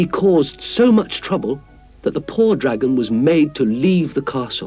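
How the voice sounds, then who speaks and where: Over music in the background, a man speaks at a moderate pace and a fairly high pitch, his pitch swinging very widely. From British. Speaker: actor. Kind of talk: children's story narration.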